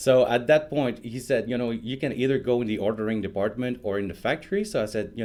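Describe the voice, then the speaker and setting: A man speaks at a very fast clip in a French Canadian accent. His voice sits at a medium pitch with ordinary pitch variation. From Quebec. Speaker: software product evangelist. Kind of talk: interview. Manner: casual with many fillers.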